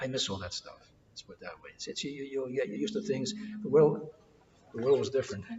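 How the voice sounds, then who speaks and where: A man's fairly high voice at a very fast pace, with very wide pitch swings, big swings in loudness, and long, frequent pauses over noticeable background noise. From New York City, Greek-American household. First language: Greek. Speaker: oral history interviewee. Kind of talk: oral history interview. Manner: halting, with many repetitions.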